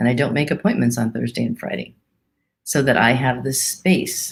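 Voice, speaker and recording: A woman with vocal fry and a very deep, low pitch, with ordinary pitch variation at a moderate pace. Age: 60s. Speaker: pastor. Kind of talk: sermon.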